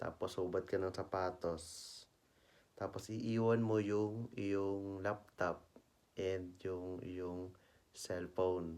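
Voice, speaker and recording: A soft-spoken man at a very slow pace, very deep and low in pitch, with monotone, flat intonation. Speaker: travel vlogger. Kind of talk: casual vlog narration. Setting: indoors at home. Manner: soft-spoken, lowered voice.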